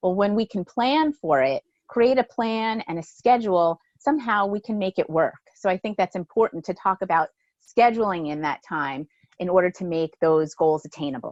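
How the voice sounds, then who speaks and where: A woman speaks at a medium pitch, with very wide pitch swings. The background is quiet, and the sound is dry and close with no echo. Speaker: physical therapist and research scientist. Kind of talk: webinar Q&A. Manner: fast.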